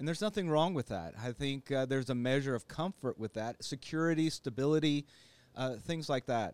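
A man talks at a fairly quick pace with a fairly high pitch. He has an ordinary speaking voice and lively intonation. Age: 50s. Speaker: licensed counselor. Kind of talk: casual interview.

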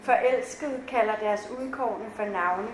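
Against noticeable background noise, a woman speaks at a high pitch with fairly even intonation. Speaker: author. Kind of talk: reading aloud. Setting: stage with audience.

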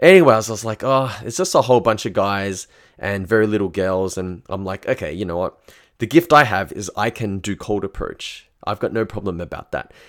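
A man with an Australian accent talks at a fairly quick pace and fairly low pitch on a very clean recording with a silent background. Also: ordinary pitch variation. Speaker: dating coach. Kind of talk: casual monologue storytelling.

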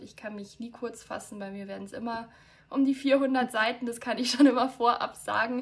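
This woman has an unremarkable speaking voice, fairly high in pitch, delivered at a moderate pace with fairly even intonation. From Bavaria, near Munich. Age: 20s. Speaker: author. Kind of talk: casual chat.

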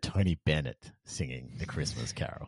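In a dry, close sound with no echo and a quiet background, a man with an Australian accent speaks at a moderate pace with lively intonation. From Perth, Western Australia. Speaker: podcast host. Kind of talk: casual chat. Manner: animated.

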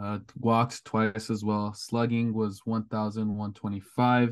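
Against a quiet background, a man speaks fairly slowly at a medium pitch in a monotone, flat intonation. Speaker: college baseball analytics student. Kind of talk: casual chat.

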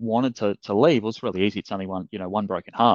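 A man with an Australian accent speaks at a fairly low pitch with monotone, flat intonation. The sound is dry and close with no echo, over a quiet background. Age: 30s. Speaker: fitness business coach. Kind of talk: interview. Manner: hesitant, many fillers and repeats.

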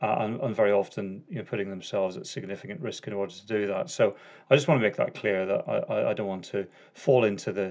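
A man speaks fairly quickly in a Northern Irish accent, with ordinary pitch variation. The background is quiet. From Northern Ireland. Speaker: podcast host, former police officer. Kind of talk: conversational, informal British English.

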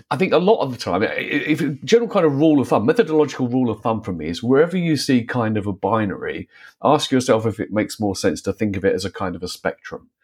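Pitch swings very widely throughout. The pace is very fast, with hardly any pauses. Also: man, medium pitch for a man. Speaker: philosopher and author. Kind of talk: panel discussion.

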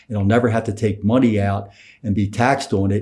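Fairly low and somewhat breathy, a man with an American accent talks at a very fast pace in a dark, mellow tone with fairly even intonation. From Philadelphia. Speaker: financial planner. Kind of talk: casual interview.

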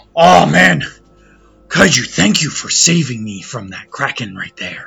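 Over faint music in the background, a man does a raspy put-on character voice at medium pitch and moderate pace, with very wide pitch swings and big swings in loudness. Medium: actual play. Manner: hearty, boisterous.

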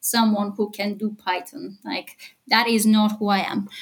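A woman with a Bulgarian accent, somewhat breathy, at a fairly slow pace. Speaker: e-commerce AI consultant. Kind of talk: interview.

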